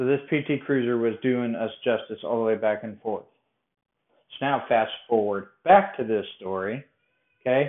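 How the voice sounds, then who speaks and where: A man with a medium pitch and ordinary pitch variation speaks at a moderate pace. He takes long, frequent pauses. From Colorado. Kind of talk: personal storytelling monologue. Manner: casual, conversational.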